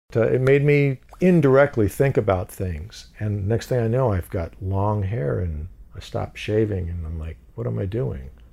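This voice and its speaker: A man with a fairly low, dark and mellow voice, somewhat breathy, speaks at a moderate pace with hardly any pauses. His pitch swings very widely. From US (moved from Iran at age two). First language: Farsi. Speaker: actor. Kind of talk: casual chat. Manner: animated.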